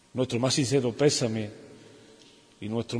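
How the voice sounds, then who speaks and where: The somewhat breathy voice has ordinary pitch variation and audible room echo. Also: man. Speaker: religious brotherhood leader. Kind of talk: interview and formal speech. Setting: parish church.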